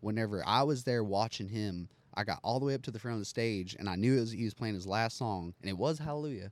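In a very clean recording with a silent background, a man at medium pitch speaks very fast with hardly any pauses and ordinary pitch variation. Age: 20s. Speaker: professional bareback rider. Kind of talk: casual interview chat.

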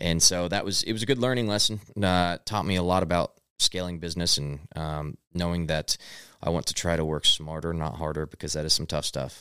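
A man with a Midwestern American accent speaks at a fairly quick pace in a very deep, low voice. His pitch varies in an ordinary way, and the sound is dry and close with no echo. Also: very clean recording, silent background. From Missouri, US Midwest. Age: 20s. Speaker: entrepreneur. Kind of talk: casual interview. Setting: studio.

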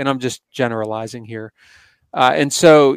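A man with an American accent talks at a moderate pace, medium pitch and ordinary pitch variation, in an unremarkable speaking voice. The sound is dry and close with no echo, and the recording is very clean over a silent background. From Pennsylvania. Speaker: conservation organization executive. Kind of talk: interview.

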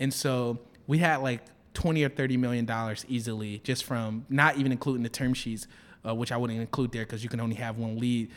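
An American-accented man with an ordinary speaking voice talks at a fairly quick pace and medium pitch, his intonation fairly even on a very clean recording with a silent background. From Detroit, US Midwest. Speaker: startup founder. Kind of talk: interview. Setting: office.

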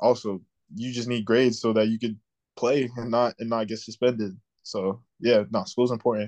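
A man's medium-pitched voice in an American accent, flat and monotone, at a moderate pace. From South Florida. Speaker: college football player. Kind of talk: interview.

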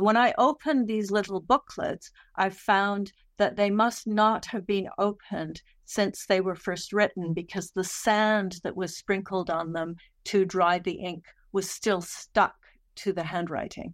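Using a plain, everyday voice, a woman talks at a fairly slow pace with fairly even intonation and a medium pitch. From Calgary, Western Canada. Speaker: historian/academic author. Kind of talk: interview about her book.

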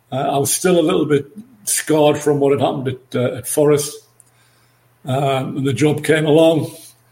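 In an English accent, a man talks at a moderate pace with fairly high pitch and monotone, flat intonation. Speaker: former football manager. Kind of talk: podcast interview.

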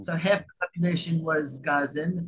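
A somewhat breathy voice with an American accent. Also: woman. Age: 70s. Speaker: playwright and theatre director. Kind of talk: interview.

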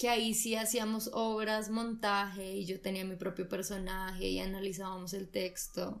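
Fairly slow and with fairly even intonation, this is an ordinary speaking voice. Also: woman. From Colombia. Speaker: actress. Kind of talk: casual chat.

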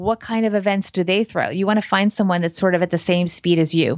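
A woman with an ordinary speaking voice talks at a medium pitch with an American accent and ordinary pitch variation. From New Jersey, US. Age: 40s. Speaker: financial planner. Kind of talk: casual interview.

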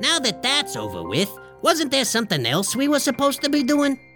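A put-on character voice, fairly high in pitch and fairly quick, over clear music in the background. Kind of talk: comic ring-announcer parody. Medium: audio drama. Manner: showy, boastful.

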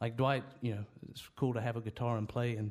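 The speaker talks at a fairly quick pace with a Southern US accent and flat, monotone intonation. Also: man. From North Carolina (near Winston-Salem). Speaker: country musician. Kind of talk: interview.

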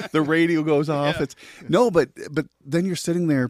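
With an American accent, a man talks at a moderate pace in a very clean recording with a silent background and a dry, close sound with no echo. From Wisconsin, La Crosse. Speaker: pastor and police chaplain. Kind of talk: casual podcast interview.

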